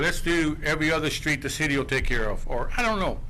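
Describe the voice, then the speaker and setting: A man talks at a fairly quick pace with ordinary pitch variation. There is audible room echo and noticeable background noise. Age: 70s. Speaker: resident speaking at public meeting. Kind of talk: public comment at council meeting.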